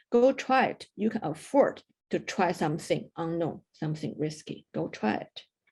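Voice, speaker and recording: A woman's dark, mellow, somewhat breathy voice in a Chinese accent, at a moderate pace with very wide pitch swings. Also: big swings in loudness. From China. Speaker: mountaineer. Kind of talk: interview.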